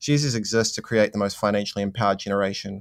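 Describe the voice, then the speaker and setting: With a New Zealand accent, a man talks at a very fast pace with ordinary pitch variation, the sound dry and close with no echo. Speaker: investing platform co-founder. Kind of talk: interview. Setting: remote interview from managed isolation in Auckland.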